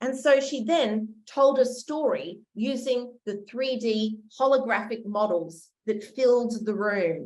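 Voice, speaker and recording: A woman with an Australian accent, fairly high-pitched with ordinary pitch variation, very slow yet with hardly any pauses. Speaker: education researcher. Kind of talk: conference lecture.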